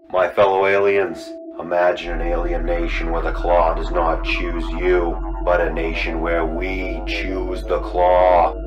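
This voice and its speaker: A man's cartoonish character voice at a fairly slow pace, with clear music in the background. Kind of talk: mock political speech.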